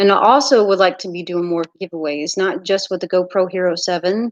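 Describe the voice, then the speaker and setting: A woman speaks with an American accent at a medium pitch, her intonation fairly even and the sound dry and close with no echo. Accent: Mississippi accent, comes out at times. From US South, Mississippi. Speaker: YouTuber, underwater treasure finder. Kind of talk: live stream chat with viewers. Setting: live stream.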